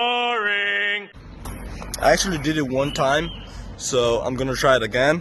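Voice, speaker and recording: Amid audible room echo, a man with a fairly high pitch talks at a fairly slow pace, swinging his pitch very widely and leaving long, frequent pauses. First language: not English. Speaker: vlogger. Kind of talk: casual vlog. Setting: outdoors. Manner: halting.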